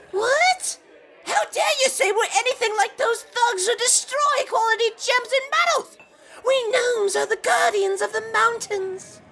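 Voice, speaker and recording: Pitched extremely high, this put-on character voice moves along at a moderate pace. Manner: offended, haughty.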